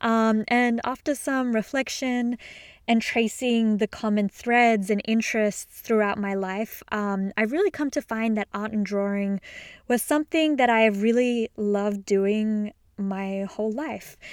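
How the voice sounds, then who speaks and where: A woman's fairly high voice with an Australian accent, warm and enthusiastic in tone, at a fairly slow pace with ordinary pitch variation, dry and close with no echo on a very clean recording with a silent background. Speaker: podcast host and illustrator. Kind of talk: solo podcast monologue, casual and conversational. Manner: warm, enthusiastic, conversational.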